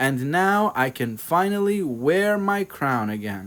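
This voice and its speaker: A man puts on a squeaky character voice, fairly high in pitch with very wide pitch swings. He talks at a fairly slow pace. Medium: read story. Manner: timid.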